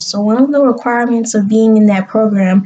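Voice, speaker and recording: A woman talks at a moderate pace with a fairly high pitch. Her voice is somewhat breathy, with a dark, mellow tone. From US South, South Carolina. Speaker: vlogger, graduate student. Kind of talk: casual vlog to camera. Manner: animated.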